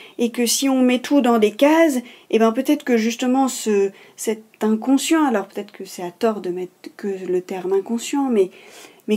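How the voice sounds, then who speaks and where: With a dark, mellow tone, a woman talks at a fairly slow pace, her fairly high pitch moving in lively intonation. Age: 30s. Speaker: speech therapist. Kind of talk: interview answer. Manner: thoughtful, hesitant, with many fillers.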